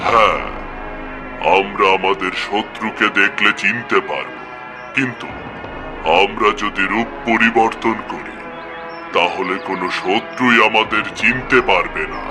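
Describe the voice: A man uses a cartoonish character voice at medium pitch and a fairly slow pace. Loud background noise runs underneath.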